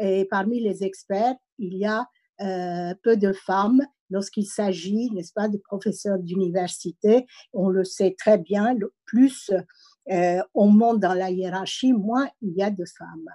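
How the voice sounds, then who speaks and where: A woman with a slight non-native accent speaks very slowly in a dark, mellow tone, recorded dry and close with no echo. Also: medium pitch for a woman, ordinary pitch variation. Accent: slight foreign accent in French. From immigrant background. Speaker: senator and university professor. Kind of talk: speech at online meeting. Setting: online meeting. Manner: hesitant, many fillers.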